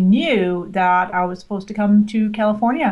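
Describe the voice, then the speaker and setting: Her voice carries a slight Scottish accent at a medium pitch for a woman. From Scotland. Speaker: social media marketing expert. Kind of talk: interview.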